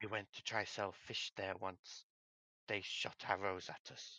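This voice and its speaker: In a put-on character voice, a man with a fairly low pitch speaks at a fairly slow pace with monotone, flat intonation. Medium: actual play. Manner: broken grammar, repetitive, clipped; nervous, repetitive warnings.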